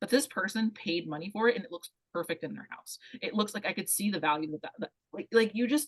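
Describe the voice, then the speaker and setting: This woman talks at a very fast pace with a medium pitch, lively intonation and big swings in loudness. Her voice is somewhat breathy. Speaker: career coach. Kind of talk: workshop talk.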